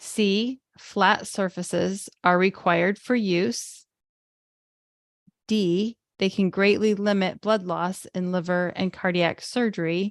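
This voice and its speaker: A woman at a medium pitch, very slow and fairly even, in a dry, close sound with no echo and a quiet background. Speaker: webinar co-host. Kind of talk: reading aloud quiz questions. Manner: clear reading.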